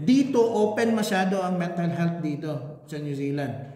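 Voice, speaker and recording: Lively intonation marks this man's high-pitched voice. Room echo can be heard. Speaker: English language teacher. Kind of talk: class lesson, Taglish. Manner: sounds angry when speaking.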